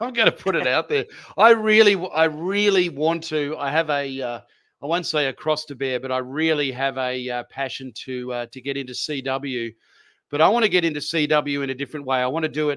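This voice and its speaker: Energetic and enthusiastic, a man with an Australian accent talks at a fairly quick pace with a fairly high pitch and a bright, sharp tone. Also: ordinary pitch variation. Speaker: amateur radio operator. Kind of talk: interview answer. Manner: energetic, enthusiastic.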